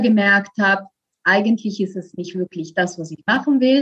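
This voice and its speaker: A woman with an Italian accent speaks at a moderate pace in a somewhat breathy voice, with a dry, close sound and no echo. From Italy. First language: Italian (speaking German). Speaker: voice coach. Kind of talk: interview. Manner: hesitant, many fillers.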